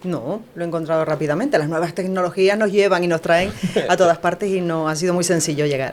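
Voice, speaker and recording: Against noticeable background noise, a woman talks very fast in a fairly low voice with ordinary pitch variation. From Canary Islands, La Palma. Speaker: news writer and broadcast announcer. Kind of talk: interview answer.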